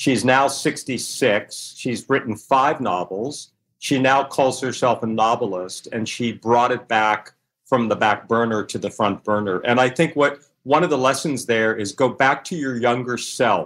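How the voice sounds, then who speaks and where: A normal speaking voice at a fairly slow pace, with ordinary pitch variation, on a very clean recording with a silent background. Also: man, medium pitch for a man. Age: 60s. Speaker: author and former magazine publisher. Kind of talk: interview.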